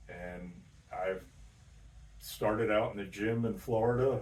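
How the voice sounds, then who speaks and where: Amid audible room echo, a man with medium pitch speaks very slowly in a somewhat breathy voice with monotone, flat intonation. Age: 70s. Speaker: gym member. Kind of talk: casual interview.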